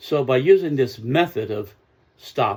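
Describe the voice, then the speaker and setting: A man talks at a very slow pace with medium pitch and a somewhat breathy quality. The recording is very clean, with a silent background. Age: 70s. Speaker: self-help speaker. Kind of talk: motivational talk.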